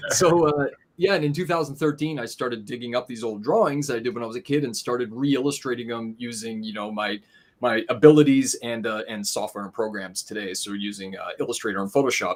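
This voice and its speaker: A man speaks at a very fast pace and medium pitch, with ordinary pitch variation and big swings in loudness. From Nova Scotia, Canada. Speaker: comic and game creator. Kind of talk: interview. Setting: live video stream.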